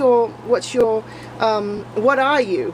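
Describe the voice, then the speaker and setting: A woman talks with an Australian accent. There is noticeable background noise. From Hong Kong (British expat), partly Australia. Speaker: vlogger. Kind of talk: casual vlog monologue. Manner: hesitant, many fillers.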